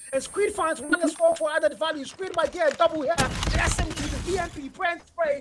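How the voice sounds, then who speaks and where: The tone is animated, with noticeable background noise underneath. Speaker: esports caster. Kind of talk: live commentary. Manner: fast.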